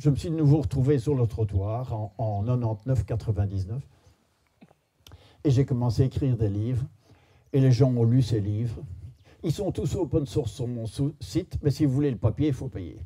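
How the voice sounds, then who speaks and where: A man's somewhat breathy, dark, mellow tone with lively intonation, a moderate pace and long, frequent pauses. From Belgium. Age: 70s. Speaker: philosopher and speaker. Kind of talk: storytelling talk to an audience.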